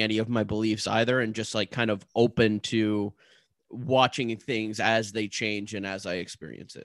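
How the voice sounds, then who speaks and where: A man speaks in a normal speaking voice with a Canadian accent, at a medium pitch and a fairly slow pace. The sound is dry and close with no echo, over a quiet background. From Ottawa area, Ontario. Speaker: podcast co-host. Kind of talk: casual chat and story narration.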